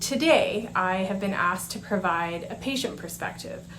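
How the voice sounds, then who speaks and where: There is noticeable background noise along with audible room echo. Through it, a woman talks fairly slowly. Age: 40s. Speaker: patient speaker. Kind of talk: prepared conference presentation. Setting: conference presentation. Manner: formal.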